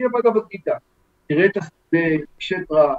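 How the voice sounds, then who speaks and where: A man talks in a high voice, his intonation lively. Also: dry, close sound with no echo. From Israel. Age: 60s. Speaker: professor. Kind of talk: interview.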